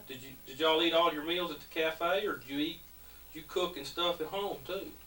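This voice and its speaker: A man with a high voice talks at a fairly quick pace, his intonation fairly even and his loudness swinging widely, over noticeable background noise. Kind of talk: family interview questions.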